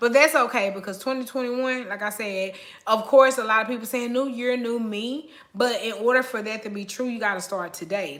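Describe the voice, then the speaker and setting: Through audible room echo and noticeable background noise, a woman talks fairly quickly with ordinary pitch variation. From Oakland, California. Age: 30s. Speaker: lifestyle vlogger. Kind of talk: live stream chat. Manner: casual, chatty.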